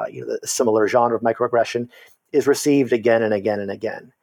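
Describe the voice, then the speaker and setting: A man with an unremarkable speaking voice talks in a medium pitch with fairly even intonation, the sound dry and close with no echo. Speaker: university lecturer and political scientist. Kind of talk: casual interview conversation.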